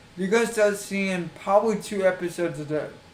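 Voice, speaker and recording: A man talks at a moderate pace with fairly even intonation. Noticeable background noise and audible room echo fill the recording. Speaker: gaming streamer. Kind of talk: casual video introduction to a game challenge. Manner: repetitive.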